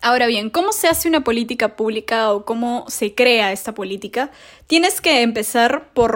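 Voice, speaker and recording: In a very clean recording with a silent background, a woman with a fairly high pitch and an unremarkable speaking voice talks at a moderate pace. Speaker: podcast host, international relations student. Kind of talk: casual educational monologue.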